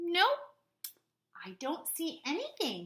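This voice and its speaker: Squeaky and female-sounding, this is a put-on character voice. Its pitch is extremely high for a woman. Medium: read story.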